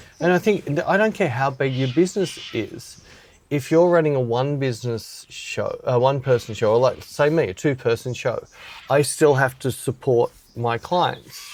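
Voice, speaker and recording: In an Australian accent, a man speaks with a fairly high pitch and ordinary pitch variation. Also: moderate pace. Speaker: podcast host, photographer. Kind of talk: casual chat.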